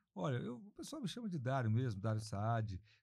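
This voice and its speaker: Somewhat breathy and dark, mellow in tone, a man speaks at a moderate pace and a medium pitch. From interior of São Paulo state, Alta Mogiana near Franca. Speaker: mayor and politician, former doctor. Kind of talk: podcast interview.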